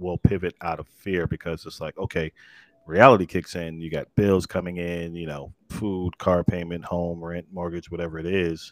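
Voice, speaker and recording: The man's very deep, low voice comes through with a dry, close sound and no echo. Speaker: podcast host. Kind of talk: live-streamed interview. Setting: live stream with online audience. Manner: upbeat, energetic.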